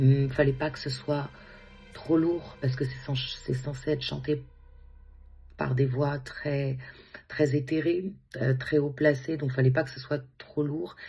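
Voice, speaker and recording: A woman speaks very slowly in a very deep, low voice with fairly even intonation and long, frequent pauses, with music playing in the background. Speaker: singer and music therapist. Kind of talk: interview. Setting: at home.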